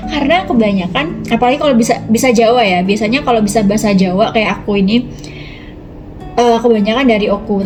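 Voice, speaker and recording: A woman's very fast speech with ordinary pitch variation, music in the background and audible room echo. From Ogan Komering Ulu, South Sumatra, Indonesia (Javanese transmigrant family). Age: 20s. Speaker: YouTuber, self-development channel. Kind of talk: casual self-introduction vlog. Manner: casual, with hesitations.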